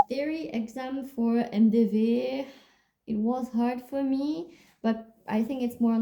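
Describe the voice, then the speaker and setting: With a French accent, a woman speaks at a fairly high pitch in a dark, mellow tone and ordinary pitch variation. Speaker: music student and vlogger. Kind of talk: casual Q&A vlog. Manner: casual, with filler words.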